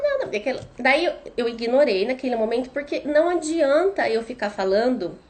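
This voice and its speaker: A woman with lively intonation at a moderate pace, over noticeable background noise. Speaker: parenting educator, mother. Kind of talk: live stream talk. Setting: Instagram live.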